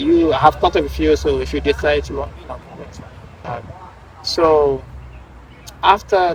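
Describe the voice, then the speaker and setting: Noticeable background noise runs under the speech. The pace is fairly slow. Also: man. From Guinea. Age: 30s. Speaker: professional footballer. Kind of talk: interview. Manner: halting.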